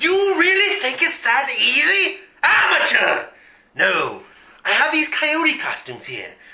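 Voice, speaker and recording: A man's put-on character voice, extremely high-pitched, at a fairly slow pace. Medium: audio drama. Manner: blustering, irritable.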